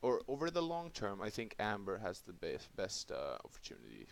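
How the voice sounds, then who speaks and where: The speaker is a man. He has a non-native accent. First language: not English. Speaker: crypto YouTuber. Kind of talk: casual talk to camera. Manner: halting.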